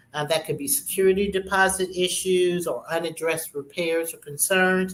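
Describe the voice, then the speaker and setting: Noticeable background noise sits behind the speech. The intonation stays fairly even at a moderate pace. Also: woman, medium pitch for a woman. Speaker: real estate show host. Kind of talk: informational talk.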